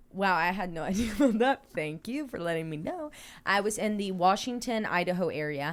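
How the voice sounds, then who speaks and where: A woman at a medium pitch, with lively intonation and a fairly quick pace, in a very clean recording over a silent background. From US South. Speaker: podcast host. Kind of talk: reading aloud a listener's story.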